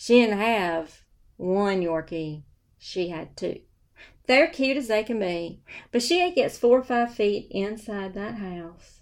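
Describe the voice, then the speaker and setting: A woman with a Southern US accent, medium pitch and a very slow pace, on a very clean recording with a silent background. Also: lively intonation, big swings in loudness. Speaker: real estate broker. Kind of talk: casual storytelling monologue. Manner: animated. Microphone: new microphone.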